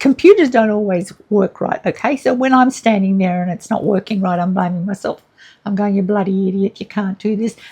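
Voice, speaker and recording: A dark, mellow, somewhat breathy tone at a fairly quick pace, with ordinary pitch variation. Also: woman, medium pitch for a woman. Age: 70s. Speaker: relationship and grief counsellor, vlogger. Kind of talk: casual monologue. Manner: animated.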